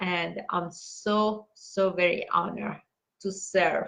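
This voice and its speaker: Somewhat breathy, monotone, flat delivery at a very slow pace with a non-native accent. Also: woman. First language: not English. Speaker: meditation teacher reading books aloud. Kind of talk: casual sign-off announcements. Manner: halting, many fillers; warm, heartfelt.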